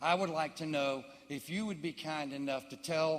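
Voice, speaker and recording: Using ordinary pitch variation, a man speaks at a fairly high pitch and a moderate pace. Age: 60s. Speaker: audience member. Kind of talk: audience question. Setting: town hall audience. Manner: halting.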